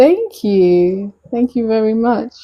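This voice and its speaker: A woman with a British accent speaks at a very slow pace. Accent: UK. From UK, Nigerian heritage. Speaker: live streamer. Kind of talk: casual chat.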